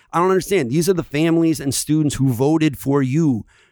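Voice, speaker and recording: On a very clean recording with a silent background, a man with an American accent talks at a moderate pace with ordinary pitch variation. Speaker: podcast host, teacher. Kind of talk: casual conversational podcast. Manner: animated, back-and-forth with agreeing interjections.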